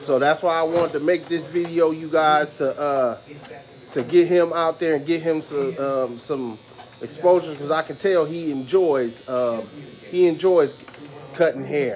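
Over light background noise, a man talks at a fairly slow pace with fairly even intonation. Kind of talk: casual vlog chat. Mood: warm, admiring. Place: shop. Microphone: phone near.

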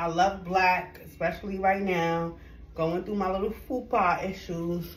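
A woman talks at a fairly slow pace. The room echo is audible. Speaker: fashion vlogger. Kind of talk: casual try-on haul chat. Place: home room. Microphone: camera far.

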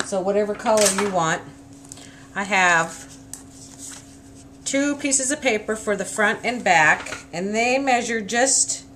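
With light background noise behind her, a woman speaks at a fairly slow pace with lively intonation. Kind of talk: tutorial. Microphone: camera far.

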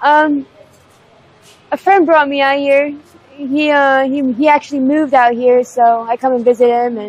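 The sound is dry with no echo. A woman with an American accent speaks at a moderate pace with ordinary pitch variation. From Pennsylvania, US. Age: 20s. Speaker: homeless drug user interviewee. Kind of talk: street interview. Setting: outdoors on the street. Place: street. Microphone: lapel.

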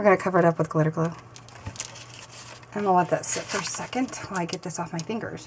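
Talking fast with fairly even intonation, a woman has a fairly low pitch, and there is faint background noise.

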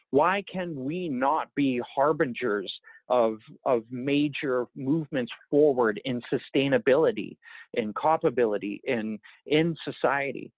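Against a quiet background, a man speaks fairly slowly at a fairly high pitch. His pitch varies in an ordinary way, and the sound is dry with no echo. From Yukon, northern Canada. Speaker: First Nation chief; interviewee. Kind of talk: interview. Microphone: earbuds.

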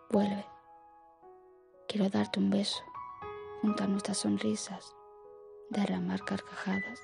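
Over music in the background, a woman whispers softly at a very slow pace, her loudness very even and her speech broken by long, frequent pauses. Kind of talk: poetry reading. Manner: soft-spoken, half whisper; slow, relaxing.

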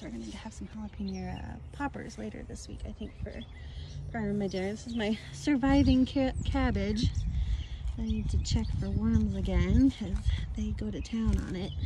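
Dry, echo-free speech from a woman amid noticeable background noise. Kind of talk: casual vlog chat. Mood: relaxed, cheerful. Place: garden. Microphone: phone near.

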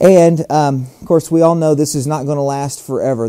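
There is a quiet background. Over it, a man talks at a moderate pace. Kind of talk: tutorial.

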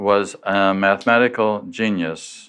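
Against a quiet background, a man with an unremarkable speaking voice talks in a fairly low pitch with fairly even intonation. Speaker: lecturer. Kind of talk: lecture. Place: hall.

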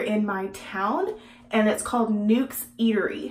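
Speaking fairly slowly in an unremarkable speaking voice, a woman with an American accent has a fairly high pitch. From Texas. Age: 20s. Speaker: beauty vlogger. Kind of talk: casual vlog and makeup tutorial; casual vlog chat. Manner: casual, with many fillers. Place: home room.

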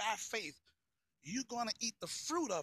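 With a raised, projected voice, a man speaks at a fairly slow pace with lively intonation, the sound dry with no echo. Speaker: pastor. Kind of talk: sermon-style motivational talk to camera. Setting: outdoors, walking. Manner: casual, conversational, repetitive phrasing. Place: street. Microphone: phone near.

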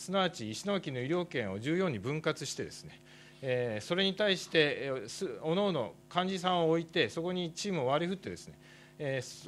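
Light background noise runs under this recording. A man talks with a fairly high pitch and lively intonation. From Japan. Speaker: doctor and professor; professor. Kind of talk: conference presentation. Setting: workshop stage with audience. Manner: formal; halting with fillers. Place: hall. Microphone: podium.

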